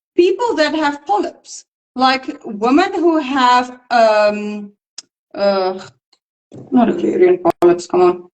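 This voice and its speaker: At a very slow pace and a high pitch, a woman speaks with very wide pitch swings and very even loudness, pausing long and often. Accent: non-native. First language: not English. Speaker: nutrition practitioner. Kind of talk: casual educational discussion. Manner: halting.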